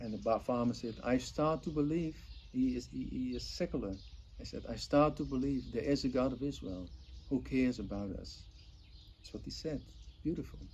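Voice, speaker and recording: A man with a Dutch accent speaks at a moderate pace with long, frequent pauses. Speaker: volunteer organizer. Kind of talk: promotional appeal. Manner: earnest, enthusiastic.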